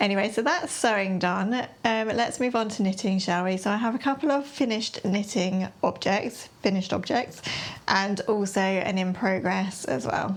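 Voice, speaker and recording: With an English accent, a woman speaks at a moderate pace. Her medium pitch shows ordinary variation. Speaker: sewing and knitting vlogger. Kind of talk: casual chat.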